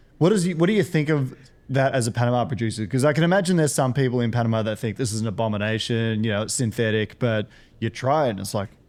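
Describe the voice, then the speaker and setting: At a very fast pace, a man speaks in a medium pitch with lively intonation. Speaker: podcast host. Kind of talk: interview podcast.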